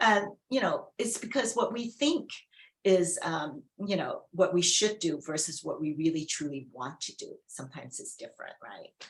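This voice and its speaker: At a moderate pace, a woman with a Chinese accent speaks at medium pitch, somewhat breathy, her pitch swinging very widely. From China, immigrant to US. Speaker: former retail executive. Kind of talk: fireside chat interview.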